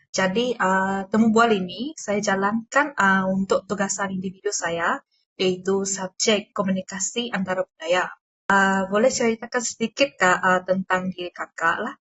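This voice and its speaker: Here a woman talks at a medium pitch. Her pitch variation is ordinary and her pace moderate. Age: 20s. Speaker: university student interviewer. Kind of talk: interview. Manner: halting, many fillers.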